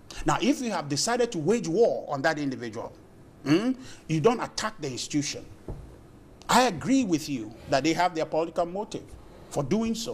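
Speaking at a fairly quick pace, a man with a high voice makes long, frequent pauses and very wide pitch swings. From Ghana. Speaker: political party representative; TV guest. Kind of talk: heated debate. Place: studio.

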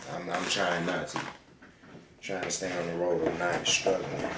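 Noticeable background noise behind a man speaking. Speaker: cooking vlogger. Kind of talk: casual vlog chat about faith. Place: kitchen. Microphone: phone near.

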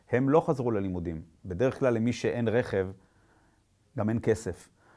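A man's dark, mellow tone at a moderate pace, with ordinary pitch variation over a quiet background. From Israel. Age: 50s. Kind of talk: personal testimony at a conference. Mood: serious, concerned. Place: studio.

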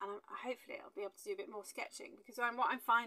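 A woman's tone is bright and sharp. Her intonation stays fairly even. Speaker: travel sketching vlogger. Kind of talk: casual vlog chat. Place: home room. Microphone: lapel.

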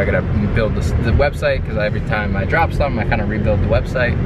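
A man races along at a very fast pace, with a dry sound and no echo under loud background noise. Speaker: vlogger. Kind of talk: casual vlog chat. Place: car. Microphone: phone near.

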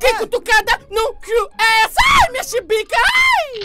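In a put-on character voice, a man pitches himself extremely high. His pace stays moderate. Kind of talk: comic overacting. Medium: fan dub. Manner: sassy, defiant.

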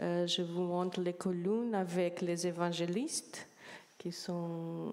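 In a dark, mellow tone, a woman with a fairly low voice speaks at a very slow pace. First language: Portuguese (speaking French). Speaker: art historian; speaker. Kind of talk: academic presentation. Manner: halting. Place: hall. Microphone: handheld.

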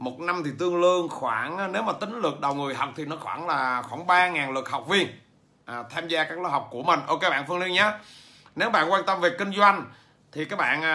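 His pitch is high, and his pace moderate. This man's pitch varies an ordinary amount. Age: 40s. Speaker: business trainer and author; business trainer. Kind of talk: livestream talk to viewers; livestream talk answering viewers. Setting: livestream. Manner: hesitant, many fillers. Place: home room. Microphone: phone near.

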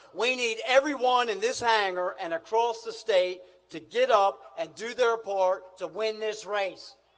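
A man with a high pitch and an American accent, at a fairly slow pace. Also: ordinary pitch variation. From US. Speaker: Senate candidate. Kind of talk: campaign rally speech. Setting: outdoor hangar rally with crowd. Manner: rousing, punchy attack lines. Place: hall. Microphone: podium.

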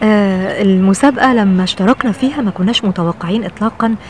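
A woman with an Egyptian accent speaks with ordinary pitch variation, the sound dry with no echo and light noise in the background. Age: 50s. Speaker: TV presenter and journalist. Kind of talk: personal reflection to camera. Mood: warm, reflective. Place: garden. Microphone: phone near.

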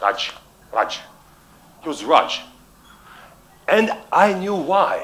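A man speaks with a Russian accent. His pace is very slow. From Russian-speaking world. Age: 50s. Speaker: public speaking coach. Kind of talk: keynote talk. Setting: stage with audience. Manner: halting. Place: stage. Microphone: headset.

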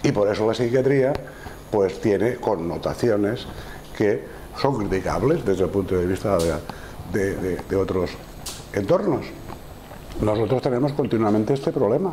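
A man with a fairly low pitch talks at a moderate pace with long, frequent pauses, very even loudness and ordinary pitch variation. Light background noise can be heard. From Spain. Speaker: psychiatrist lecturer. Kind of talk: lecture. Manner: halting. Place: classroom. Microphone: lapel.

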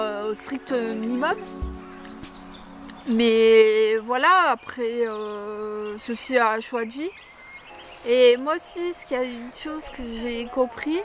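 Over music in the background, a woman speaks very slowly in a high pitch, leaving long, frequent pauses. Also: dry sound with no echo. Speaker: crafts vlogger. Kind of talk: casual vlog chat. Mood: reflective, a bit wry. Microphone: phone near.

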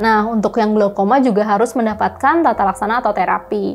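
A woman speaks at a very fast pace with ordinary pitch variation. Light background noise is audible. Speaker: presenter. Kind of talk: health explainer. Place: studio. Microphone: lapel.

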